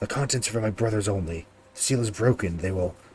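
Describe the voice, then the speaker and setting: In a put-on character voice, a man speaks very fast with a raspy, fairly low pitch. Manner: desperate.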